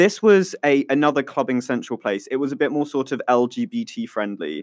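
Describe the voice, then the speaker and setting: A man talks with fairly high pitch and lively intonation. The sound is dry and close, without echo. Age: 20s. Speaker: podcast co-host. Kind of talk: casual chat. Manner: animated.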